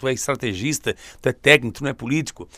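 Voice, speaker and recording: A fairly high-pitched man's voice in a very clean recording, silent background, with dry, close sound and no echo. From southern Santa Catarina, Brazil. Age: 50s. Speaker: vice mayor and former journalist. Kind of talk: radio interview.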